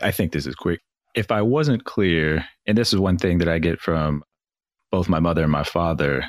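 Recorded with a dry, close sound with no echo, a man with a very deep, low pitch and vocal fry speaks at a fairly quick pace with ordinary pitch variation. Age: 30s. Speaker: podcast host appearing as guest. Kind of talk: casual interview chat.

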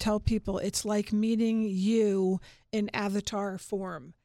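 In an American accent, a woman speaks slowly-ish at a medium pitch, her dark, mellow tone delivered in a flat monotone on a very clean recording with a silent background. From New York suburbs (Larchmont). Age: 50s. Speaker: marketing company founder. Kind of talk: radio interview. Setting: studio.

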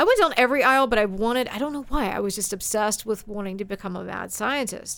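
A woman's fairly high voice with a Texan accent, very fast with hardly any pauses and ordinary pitch variation. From Texas, Forney near Dallas. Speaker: radio news and traffic reporter. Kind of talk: casual interview chat.

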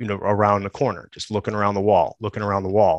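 Here a man speaks with an American accent. His pitch sits fairly low. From US Midwest, Chicago. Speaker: Marine sniper veteran. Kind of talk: interview storytelling.

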